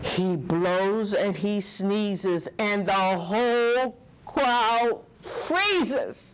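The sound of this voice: A woman at medium pitch, very slow pace and lively intonation.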